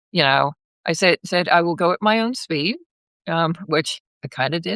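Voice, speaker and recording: A woman speaks in an ordinary speaking voice at a fairly low pitch and a moderate pace. Her pitch variation is ordinary, and the sound is dry and close with no echo. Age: 60s. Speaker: massage therapist and pilgrim. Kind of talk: casual interview. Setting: live video call.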